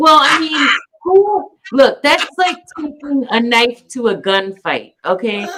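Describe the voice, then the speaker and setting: A woman's raised, projected voice, high in pitch, with an American accent, very wide pitch swings and a very slow pace. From Wisconsin, US Midwest. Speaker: political commentary streamer. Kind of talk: casual group discussion. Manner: halting, many fillers.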